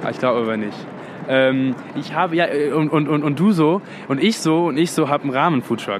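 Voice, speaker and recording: With noticeable background noise, a man talks at a fairly quick pace, leaving long, frequent pauses. His voice is fairly high, with ordinary pitch variation. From London. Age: 20s. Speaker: actor. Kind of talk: casual chat.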